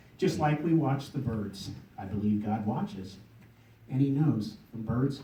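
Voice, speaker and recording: A man with an ordinary speaking voice talks at a fairly slow pace in a medium pitch. His loudness swings widely while his pitch varies in an ordinary way. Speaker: poet. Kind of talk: poetry reading. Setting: live audience event.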